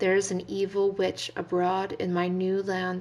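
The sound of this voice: The clip has an unforced reading voice. It is read out.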